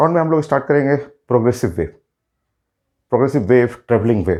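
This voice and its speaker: The voice has vocal fry. Its pitch varies in an ordinary way. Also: man. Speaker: physics teacher. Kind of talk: lecture. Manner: halting.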